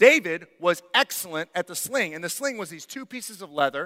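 Projecting a raised voice, a man talks with a bright, sharp tone. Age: 30s. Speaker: pastor. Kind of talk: sermon. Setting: church. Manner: halting.

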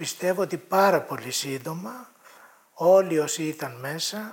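High pitch from a man, with ordinary rise and fall. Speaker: psychiatrist, former student protester. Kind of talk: interview testimony.

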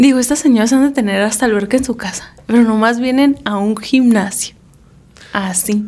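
Speaking at a moderate pace, a woman with an ordinary speaking voice has a fairly high pitch and fairly even intonation. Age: 30s. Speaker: podcast co-host. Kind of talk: casual chat.

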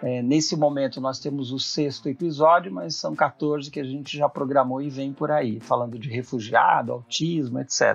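Pitched fairly high, a man with an unremarkable speaking voice keeps a moderate pace and shows ordinary pitch variation. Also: hardly any pauses. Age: 60s. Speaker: psychologist and consultant. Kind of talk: casual chat.

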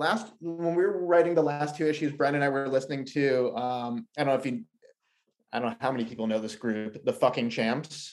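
The pace is fairly quick and the intonation lively. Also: man. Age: 30s. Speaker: comic book writer. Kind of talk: casual interview.

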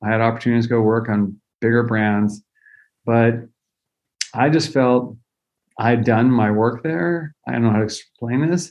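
At a moderate pace, a man with an American accent and a medium pitch speaks with ordinary pitch variation, very even loudness, and long, frequent pauses. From US West Coast (California Central Valley). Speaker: candy company founder. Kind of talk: interview.

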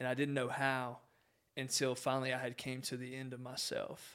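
A man at a moderate pace and medium pitch, on a very clean recording with a silent background. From Southwest Virginia, Appalachian mountains. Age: 20s. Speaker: guest, realtor and outdoor ministry coordinator. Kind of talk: casual interview chat, sharing personal testimony.

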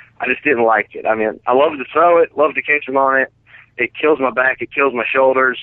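In an American accent, a man with an ordinary speaking voice and medium pitch talks at a fairly quick pace. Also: ordinary pitch variation. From Colorado (from age 8), born Northern Virginia. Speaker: professional bass angler and fishing guide. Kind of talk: interview.

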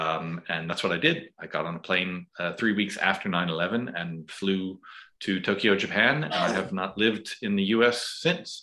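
A very deep, low-pitched man with an American accent, bright and sharp in tone, ordinary pitch variation, on a very clean recording with a silent background. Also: moderate pace. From US suburbs. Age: 50s. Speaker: life coach and former lawyer. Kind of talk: casual interview conversation.

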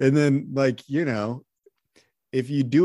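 The speaker is a man with a medium pitch. His pace is very slow. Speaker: podcast host. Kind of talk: casual interview chat.

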